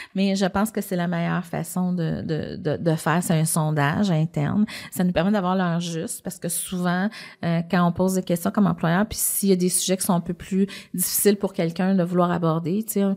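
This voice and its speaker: This woman talks at a fairly quick pace in a fairly low pitch, her intonation monotone and flat. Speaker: business executive, podcast guest. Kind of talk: interview. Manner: fast.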